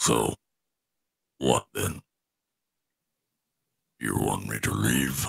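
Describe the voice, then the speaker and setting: A man's growling, put-on character voice, very deep and low in pitch, with ordinary pitch variation, a very slow pace, and long, frequent pauses. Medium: actual play. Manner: blunt, direct.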